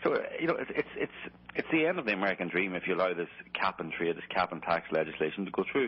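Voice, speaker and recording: A man with an Irish accent speaks in a very deep, low pitch with ordinary pitch variation. Noticeable background noise is present. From Ireland. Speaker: documentary filmmaker and journalist. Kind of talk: radio interview. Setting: radio show. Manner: calm, measured.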